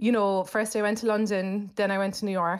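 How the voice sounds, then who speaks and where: At a fairly quick pace, a woman speaks with a Cork accent. The recording is very clean, with a silent background. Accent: Cork Irish. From Cork, Ireland. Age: 40s. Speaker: comedian. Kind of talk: casual chat.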